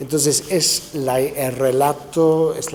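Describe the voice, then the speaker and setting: A man talks with a slight Argentine accent. Noticeable background noise sits behind him. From England. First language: English (speaking Spanish). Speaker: author, papal biographer. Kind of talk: interview. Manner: hesitant, many fillers and restarts.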